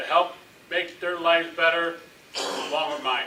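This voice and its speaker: A man talks at a moderate pace in a high pitch. Audible room echo surrounds his voice. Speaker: city council member and coach. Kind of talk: candidate statement at public forum. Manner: halting, many fillers.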